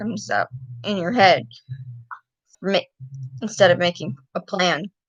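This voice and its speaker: A woman with an American accent and vocal fry. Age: 20s. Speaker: YouTuber. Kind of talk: casual livestream talk. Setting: livestream. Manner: halting. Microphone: laptop.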